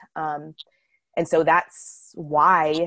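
Recorded with a dry, close sound and no echo, a woman speaks at a very deep, low pitch. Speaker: midwife. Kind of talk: casual interview chat.

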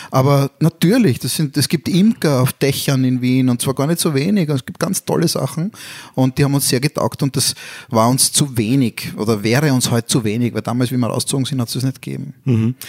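With an unremarkable speaking voice, a man talks at a fairly quick pace in a medium pitch with ordinary pitch variation, the sound dry and close with no echo. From Vienna, Austria (Brigittenau district). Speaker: podcast co-host. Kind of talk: casual chat.

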